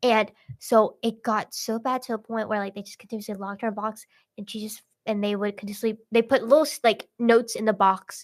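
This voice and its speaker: On a very clean recording with a silent background, a woman with a fairly high voice and a Vietnamese accent speaks at a very fast pace with big swings in loudness. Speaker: podcast host. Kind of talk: casual chat. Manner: filler-heavy, many likes and restarts.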